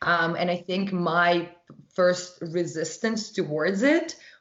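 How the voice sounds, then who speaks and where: A woman with a fairly low pitch and ordinary pitch variation speaks amid audible room echo. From Russia. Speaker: holistic nutritionist and wellness brand founder. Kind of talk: podcast interview.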